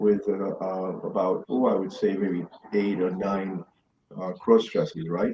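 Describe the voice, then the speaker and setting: The man speaks at a moderate pace. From New York City, Bronx. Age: 60s. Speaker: Stonewall veteran, activist. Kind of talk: interview chat.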